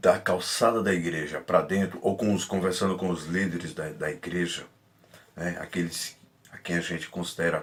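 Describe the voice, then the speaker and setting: A soft-spoken man talks in a very deep, low pitch. His intonation stays fairly even. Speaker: preacher. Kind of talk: sermon.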